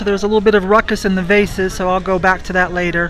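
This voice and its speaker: A woman speaks in a dry sound with no echo. Light background noise can be heard. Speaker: reseller thrifting for items to resell. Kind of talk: casual vlog chat. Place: shop. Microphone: phone near.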